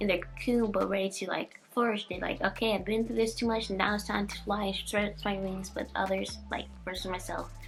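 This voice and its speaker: Music is playing in the background. Over it, a woman talks at a fairly quick pace. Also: hardly any pauses. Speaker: lifestyle vlogger. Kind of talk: personal reflective vlog monologue. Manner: rambling with frequent fillers.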